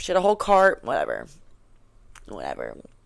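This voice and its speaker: Animated in tone, a woman talks at a medium pitch. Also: very clean recording, silent background. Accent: New York. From New York City. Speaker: vlogger and bartender. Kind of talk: casual vlog chat. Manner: fast.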